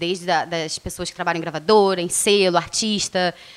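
Here a woman speaks at a very fast pace. Her pitch sits in the medium range. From Rio de Janeiro, Brazil. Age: 30s. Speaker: radio presenter. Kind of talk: casual interview.

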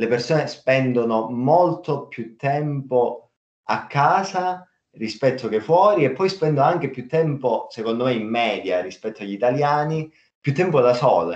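Delivered in a normal speaking voice, the speech moves at a fairly slow pace with lively intonation. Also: man. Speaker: podcast host. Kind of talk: casual chat.

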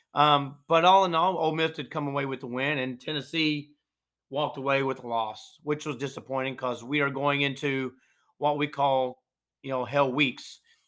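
A man talks with a Southern US accent. His pace is moderate and his intonation fairly even. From North Georgia, US South. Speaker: podcast host. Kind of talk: solo podcast monologue. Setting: live stream. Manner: halting, many fillers.

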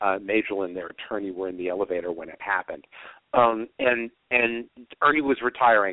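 An ordinary speaking voice from a man, fairly low in pitch, with ordinary pitch variation and a fairly quick pace. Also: big swings in loudness. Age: 50s. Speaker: author. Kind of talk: casual chat.

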